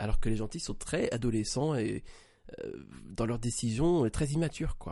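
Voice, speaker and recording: A man speaks at a moderate pace and medium pitch, with ordinary pitch variation and a dark, mellow tone. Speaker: podcast co-host. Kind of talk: casual chat.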